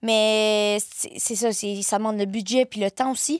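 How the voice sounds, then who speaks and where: In a very clean recording with a silent background, a woman with a Quebec accent speaks at a moderate pace with fairly even intonation. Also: dry, close sound with no echo. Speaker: content creator. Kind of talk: casual chat.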